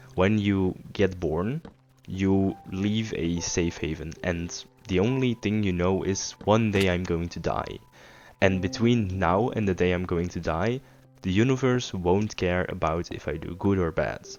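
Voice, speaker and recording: A man speaks at a fairly slow pace in a very deep, low voice with ordinary pitch variation. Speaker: philosophy podcaster playing video games. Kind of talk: casual monologue. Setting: late night while gaming. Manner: halting.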